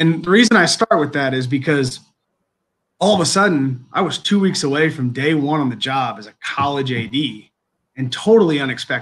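Fairly high in pitch, a man talks at a fairly quick pace with ordinary pitch variation. He has a normal speaking voice. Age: 30s. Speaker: college athletic director. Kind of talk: interview.

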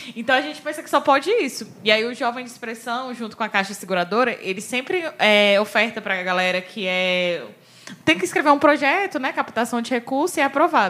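The voice is bright and sharp, with lively intonation and a very fast pace. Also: woman. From Brazil, Ceilândia (Federal District). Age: 20s. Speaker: podcast co-host. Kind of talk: casual chat.

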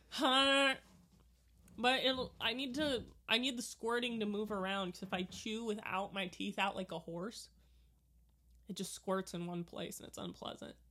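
Speaking loudly at a moderate pace, a woman with a fairly high pitch and a bright, sharp tone uses ordinary pitch variation and long, frequent pauses, in a very clean recording with a silent background. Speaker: podcast co-host. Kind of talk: casual chat. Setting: watching a movie together.

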